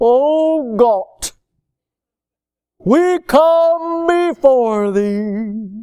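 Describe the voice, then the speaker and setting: A female-sounding voice uses a high-pitched, put-on character voice. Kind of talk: affected religious register. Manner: pompous, stretched-out.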